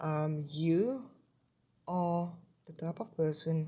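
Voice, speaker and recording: Her pitch is very deep and low, with a dark, mellow tone and a somewhat breathy quality. The woman keeps her intonation fairly even. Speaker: tarot reader. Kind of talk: spiritual card reading to camera. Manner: hesitant, many fillers; stuttering today.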